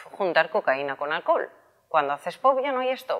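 Pitch swings very widely as a woman speaks at a moderate pace. The background is quiet. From Spain. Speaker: health and wellness youtuber; wellness youtuber. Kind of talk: casual explanatory vlog. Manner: animated. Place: shop. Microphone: lapel.

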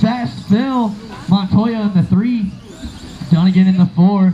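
Fairly slow speech in a dark, mellow tone, ordinary pitch variation, and faint background noise underneath. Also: man, high pitch for a man.

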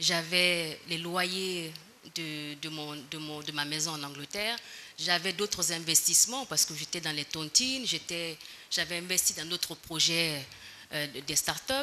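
Over light background noise, a woman with a fairly low pitch talks at a very slow pace, her loudness swinging widely and her pitch varying in an ordinary way. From Guinea, raised abroad from age 8 (partly England). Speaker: defendant, former member of parliament. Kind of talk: court testimony. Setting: courtroom. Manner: formal. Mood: calm, defensive explanation. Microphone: podium.

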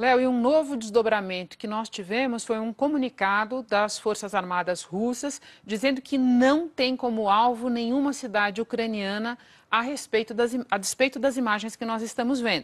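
A woman talks in a fairly high pitch, keeping a moderate pace while her pitch varies in an ordinary way. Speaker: news anchor. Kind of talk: live TV news anchoring, formal. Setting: TV studio. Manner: formal, measured, brisk. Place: studio. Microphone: lapel.

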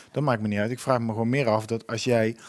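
A man is speaking. The background is quiet. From Netherlands. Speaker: co-host, media company boss; co-host. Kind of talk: casual chat. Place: studio. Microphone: headset.

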